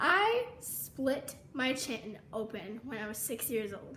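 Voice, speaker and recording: A woman's voice with very wide pitch swings, audible room echo and noticeable background noise. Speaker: vlogger. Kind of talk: casual storytime vlog. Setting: home kitchen.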